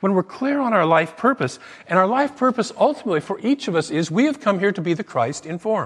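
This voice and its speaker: At a fairly quick pace, a man speaks in a high pitch with very wide swings. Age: 60s. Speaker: minister. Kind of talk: sermon. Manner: conversational.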